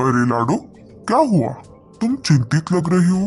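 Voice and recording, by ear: Faint music plays in the background behind a cartoonish character voice at a middle pitch with very wide pitch swings.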